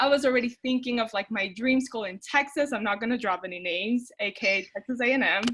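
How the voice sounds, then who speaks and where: This woman talks at a very fast pace in a high-pitched voice, with a non-native accent. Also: ordinary pitch variation, hardly any pauses. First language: not English. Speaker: former student, outreach director. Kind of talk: webinar panel talk. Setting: online webinar. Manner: casual, conversational.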